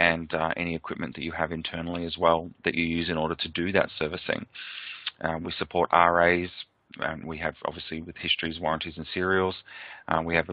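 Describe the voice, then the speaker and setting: A man with an Australian accent speaks at a fairly quick pace. His very deep, low voice stays monotone and flat. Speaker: software presenter. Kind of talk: product webinar presentation. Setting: webcast. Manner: hesitant, many fillers.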